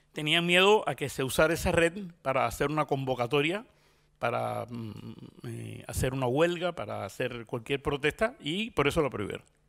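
Speaking at a moderate pace with lively intonation, a man with a Cuban accent uses a fairly high pitch over a quiet background. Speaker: journalist. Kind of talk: conference talk. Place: stage. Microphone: handheld.

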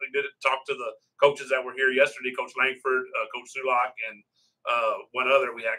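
A man talks at a fairly quick clip, and the background is quiet. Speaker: local sports broadcast host. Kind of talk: interview introduction and questions. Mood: jovial, self-deprecating. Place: meeting room. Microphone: phone near.

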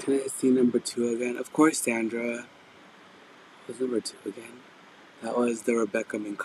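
At a moderate pace, a man speaks at medium pitch with a slightly mellow tone and little pitch movement.

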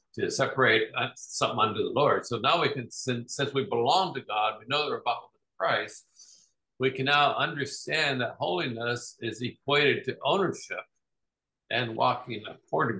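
A man at a moderate pace, big swings in loudness, against a quiet background. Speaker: Bible study leader. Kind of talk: Bible study teaching. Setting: video call. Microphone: video call.

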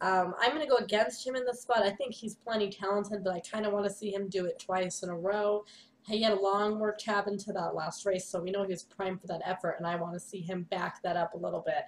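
A woman at a very fast pace with hardly any pauses and fairly even intonation. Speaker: horse racing analyst. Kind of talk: commentary. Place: home room. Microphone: webcam.

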